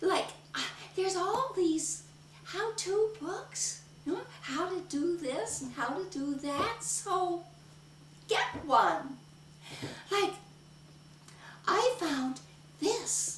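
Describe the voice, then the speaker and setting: A woman uses a put-on character voice at an extremely high pitch, with slight echo. She speaks at a very slow pace with long, frequent pauses. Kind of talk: solo theatre performance. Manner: upbeat, energetic.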